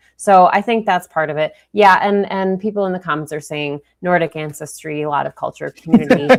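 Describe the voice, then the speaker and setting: Fairly quick, nearly pause-free speech from a woman with a fairly low pitch and a Minnesotan accent. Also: ordinary pitch variation. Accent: Minnesota. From Minnesota, US (St. Louis Park). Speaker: fill-in news show host. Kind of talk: online news show discussion.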